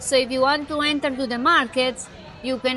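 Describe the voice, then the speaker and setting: Music plays behind a woman with a Spanish accent and a high pitch. She talks at a moderate pace in a monotone, flat intonation. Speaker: real estate agent. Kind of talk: casual interview. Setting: shopping mall.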